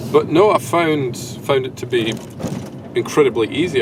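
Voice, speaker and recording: Noticeable noise sits behind a man speaking in a Scottish accent. His pitch varies in an ordinary way. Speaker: wedding videographer. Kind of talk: video diary. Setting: hotel room. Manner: casual, hesitant with fillers; quiet.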